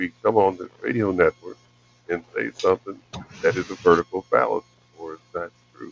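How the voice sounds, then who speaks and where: Over music in the background, a man with an American accent talks at a fairly quick pace, with long, frequent pauses and big swings in loudness. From rural US. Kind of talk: radio discussion.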